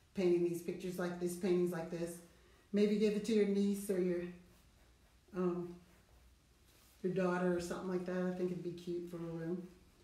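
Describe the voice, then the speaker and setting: A woman speaks with a fairly low pitch and monotone, flat intonation. Long, frequent pauses fall within audible room echo. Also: moderate pace. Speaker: artist and painting instructor; painting instructor. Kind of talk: tutorial. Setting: studio. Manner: loud; casual. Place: studio. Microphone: no microphone, hard to hear; webcam.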